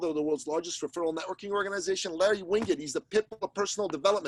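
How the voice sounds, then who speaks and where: The recording of this man's animated voice is dry and close, with no echo. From Iran. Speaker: business coach and podcaster. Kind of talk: podcast interview.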